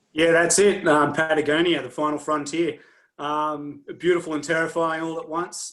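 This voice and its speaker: In a very clean recording with a silent background, a man with an Australian accent speaks at a moderate pace, fairly high-pitched and in a monotone, flat intonation. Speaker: adventure racer. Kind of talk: team introduction video.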